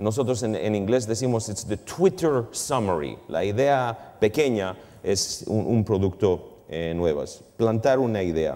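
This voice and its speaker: In an English accent, a man with a fairly low pitch speaks at a fairly slow pace, his intonation lively and hardly any pauses breaking it. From Canada. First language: English (speaking Spanish). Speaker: finance professor. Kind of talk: lecture. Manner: halting, mixing in English words. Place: hall. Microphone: lapel.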